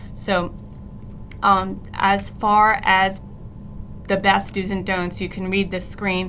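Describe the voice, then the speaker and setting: In a room with audible echo, a woman speaks very slowly at a medium pitch, her bright, sharp tone flat and monotone, broken by long, frequent pauses. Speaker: middle school teacher. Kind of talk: recorded presentation screencast. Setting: screencast recording.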